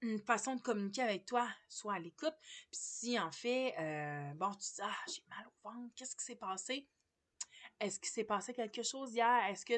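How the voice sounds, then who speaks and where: Against a quiet background, a woman with a Quebec accent talks at a moderate pace. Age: 40s. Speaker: massage therapist. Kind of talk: casual vlog monologue. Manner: hesitant, many fillers.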